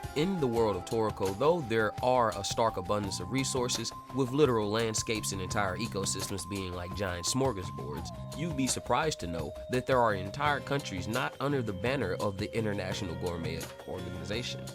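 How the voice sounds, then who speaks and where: A fairly low-pitched man at a fairly quick pace with very wide pitch swings, music in the background. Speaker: anime analysis commentator. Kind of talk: video essay narration.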